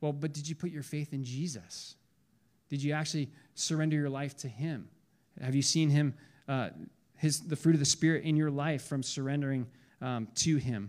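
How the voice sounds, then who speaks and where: A man speaks at a moderate pace in a fairly high pitch, with fairly even intonation and long, frequent pauses. The recording is very clean, with a silent background. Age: 40s. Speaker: college pastor. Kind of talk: sermon. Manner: halting, many fillers and repeats.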